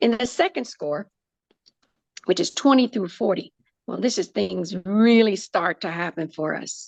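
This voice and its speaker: Lively intonation runs through a woman's medium-pitched voice at a moderate pace. The sound is dry and close with no echo. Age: 60s. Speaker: breast cancer surgeon. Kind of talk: podcast interview. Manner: halting.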